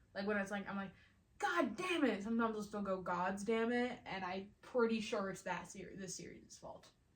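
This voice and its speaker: A woman talks at a fairly quick pace in an animated tone, with audible echo from the room. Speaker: video creator ranking fandoms. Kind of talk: casual vlog monologue. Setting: at home alone. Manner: loud.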